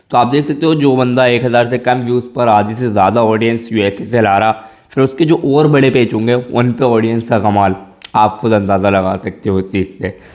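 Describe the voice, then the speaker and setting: Animated in tone, a man speaks at a moderate pace and medium pitch with ordinary pitch variation over noticeable background noise. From rural India. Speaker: tech YouTuber. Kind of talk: tutorial. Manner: casual, animated.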